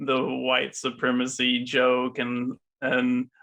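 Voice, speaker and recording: In a Southern US accent, a man talks very slowly at medium pitch with monotone, flat intonation. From US South, small river town. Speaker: podcast co-host appearing as guest. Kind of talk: casual chat.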